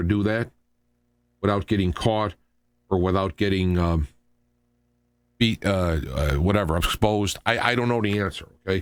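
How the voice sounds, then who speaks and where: This man has a fairly low pitch and an animated tone, speaking at a moderate pace with ordinary pitch variation. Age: 60s. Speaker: radio talk show host. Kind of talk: political commentary. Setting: live radio show. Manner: animated, repetitive with false starts.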